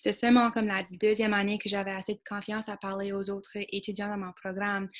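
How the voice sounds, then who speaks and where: A woman speaks at medium pitch. Her pace is moderate, and the background is quiet. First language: English (speaking French). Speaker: student. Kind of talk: panel discussion.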